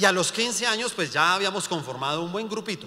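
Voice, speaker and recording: Heard with audible room echo, the voice is raised and projected, animated in tone, and moves at a moderate pace. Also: man. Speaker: pastor. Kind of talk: sermon.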